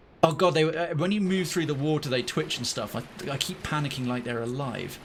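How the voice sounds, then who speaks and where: Long, frequent pauses break up speech at a moderate pace with ordinary pitch variation, set against noticeable background noise. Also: man. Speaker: game streamer. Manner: enunciates clearly.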